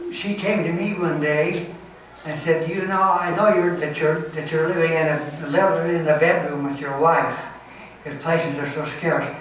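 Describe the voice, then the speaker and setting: Speaking at a fairly slow pace with fairly even intonation, a man with a fairly high pitch comes through noticeable background noise. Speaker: military flight instructor. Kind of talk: memorial service eulogy. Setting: auditorium.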